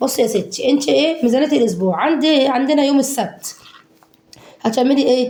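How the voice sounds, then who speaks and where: A woman with an Egyptian accent speaks at a high pitch and a moderate pace, with ordinary pitch variation. Her loudness stays very even over noticeable background noise. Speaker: home cooking vlogger. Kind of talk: casual cooking tutorial. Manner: animated.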